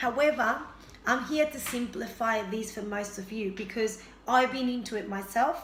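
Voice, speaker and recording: A woman with a Spanish accent, a fairly high pitch and ordinary pitch variation at a moderate pace, with noticeable background noise and audible room echo. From Argentina. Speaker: health and fitness vlogger. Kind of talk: casual vlog introduction.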